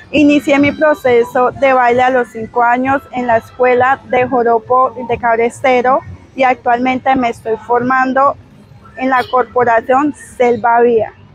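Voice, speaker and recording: Music plays behind a woman speaking in a high pitch at a fairly slow pace. Her intonation is fairly even and the sound is dry with no echo. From Colombian Amazon region. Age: 20s. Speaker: makeup artist and dancer. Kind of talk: scripted presentation. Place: waterside. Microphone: lapel.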